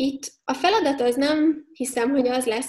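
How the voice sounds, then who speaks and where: A woman talks at a moderate pace. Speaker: HR expert and company founder. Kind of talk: interview.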